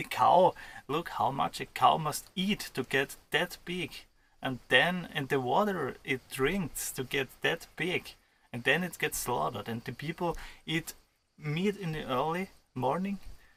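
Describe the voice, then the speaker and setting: A man with an Austrian accent, fairly high pitch, bright, sharp tone, ordinary pitch variation and a fairly slow pace. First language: German (Austrian). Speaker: vlogger. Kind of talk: casual chat. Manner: halting.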